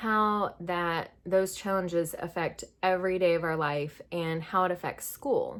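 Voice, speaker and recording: The woman speaks at a very slow pace in a medium pitch. The recording is very clean, with a silent background. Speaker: family vlogger, homeschooling mom. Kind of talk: casual vlog talk. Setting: at home, schoolroom. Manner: candid, conversational.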